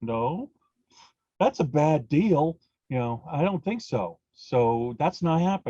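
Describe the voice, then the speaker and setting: A man's very slow, somewhat breathy speech in a dark, mellow tone with very wide pitch swings. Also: dry, close sound with no echo. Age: 60s. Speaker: author and magic practitioner. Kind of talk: podcast interview. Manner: halting, many fillers.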